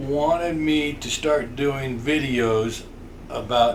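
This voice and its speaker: A man speaks with ordinary pitch variation over audible room echo. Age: 60s. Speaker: podcast co-host, grandfather. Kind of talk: casual chat.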